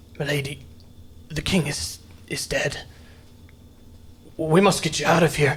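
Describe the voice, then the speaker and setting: A man's put-on character voice, raspy and fairly high-pitched, at a moderate pace with fairly even intonation and long, frequent pauses. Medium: actual play. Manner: respectful, shaken.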